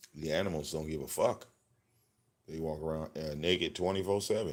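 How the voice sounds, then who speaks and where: A man's very deep, low voice, fairly even in intonation, at a fairly quick pace. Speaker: livestream commentator. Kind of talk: casual livestream rant. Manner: loud.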